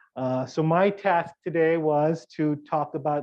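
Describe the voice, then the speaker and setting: The man's voice sits fairly high. He keeps his intonation fairly even. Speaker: university professor. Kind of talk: lecture. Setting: workshop with live audience. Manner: soft-spoken.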